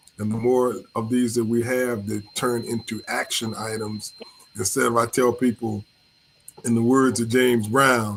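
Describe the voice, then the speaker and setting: A man talks at a moderate pace in a monotone, flat intonation. Noticeable background noise runs under his speech. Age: 70s. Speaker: panel guest. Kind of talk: casual chat.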